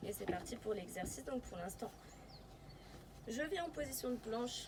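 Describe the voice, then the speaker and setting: Background noise can be clearly heard. Over it, the woman's voice rises to a high pitch. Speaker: pilates instructor. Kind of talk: tutorial.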